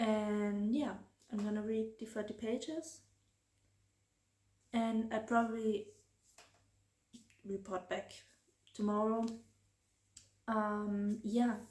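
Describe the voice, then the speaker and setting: Speaking very slowly with a German accent, a woman has a fairly high pitch, a somewhat breathy voice, fairly even intonation and long, frequent pauses. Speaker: book vlogger. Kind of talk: casual vlog. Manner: hesitant, many fillers.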